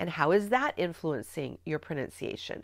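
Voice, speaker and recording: A woman with a slight Midwestern accent speaks at a moderate pace with very wide pitch swings. The recording is very clean, with a silent background. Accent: slight Midwest undertones. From US Midwest. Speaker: spelling teacher trainer. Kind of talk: tutorial.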